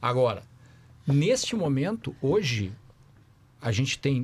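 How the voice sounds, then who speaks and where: With lively intonation, the somewhat breathy speaker talks in a southern Brazilian accent. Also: man, very clean recording, silent background. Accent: Porto Alegre (gaúcho). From southern Brazil, Porto Alegre. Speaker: company founder. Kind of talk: podcast panel discussion. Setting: live stream. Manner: conversational, frequent 'certo?' fillers.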